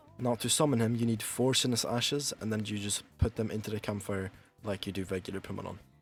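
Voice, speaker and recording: A man's medium-pitched voice at a fairly quick pace, fairly even in intonation, with music in the background. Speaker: gaming guide creator. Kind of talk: game tutorial voiceover. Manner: monotone.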